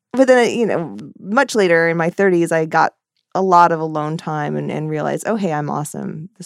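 Pitched fairly low, a woman with an unremarkable speaking voice talks at a moderate pace with lively intonation. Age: 40s. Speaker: cartoonist and author. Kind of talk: casual interview.

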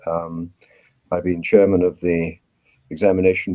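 A man's very deep, low voice comes through with a British accent. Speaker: pathologist. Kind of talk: interview. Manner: animated.

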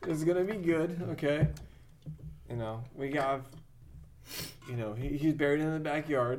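With long, frequent pauses, a man talks at a moderate pace in a fairly high voice with ordinary pitch variation. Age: 30s. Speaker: podcast host. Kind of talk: casual chat.

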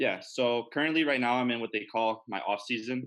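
Using a plain, everyday voice, a man talks at a fairly quick pace and medium pitch. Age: 20s. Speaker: bodybuilding competitor and student. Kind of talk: casual interview chat.

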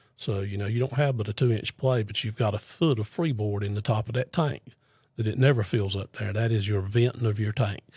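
In a very clean recording with a silent background, a man with an American accent speaks at a fairly low pitch, his tone dark, mellow and somewhat breathy, with ordinary pitch variation. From US South, North Carolina (Fuquay-Varina). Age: 60s. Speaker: septic contractor. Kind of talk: casual interview.

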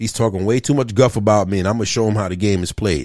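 Animated in tone, a man speaks at a very fast pace on a very clean recording with a silent background. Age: 50s. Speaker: sports podcast co-host. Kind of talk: casual chat. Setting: studio.

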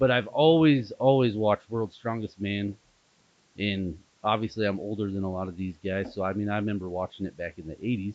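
This is an ordinary speaking voice at a fairly quick pace, with ordinary pitch variation. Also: man, fairly low pitch for a man. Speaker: strength athlete.

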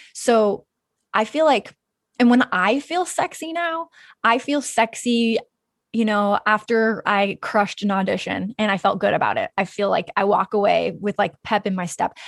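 A woman with a plain, everyday voice and an American accent, fairly high in pitch with lively intonation, at a moderate pace, dry and close with no echo over a quiet background. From Wyoming, US. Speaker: filmmaker and podcast host. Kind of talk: casual interview chat.

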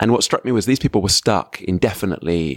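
A man with an English accent talks at a very fast pace. His pitch is very deep and low, and the sound is dry and close with no echo. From England. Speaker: professor. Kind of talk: conversational interview. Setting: conference venue.

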